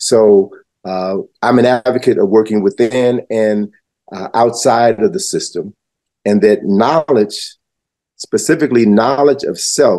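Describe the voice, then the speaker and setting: This man speaks fairly slowly with an American accent, his dark, mellow tone moving with ordinary pitch variation. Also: medium pitch for a man. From US Midwest, Chicago. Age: 70s. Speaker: historian and educator. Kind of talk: interview.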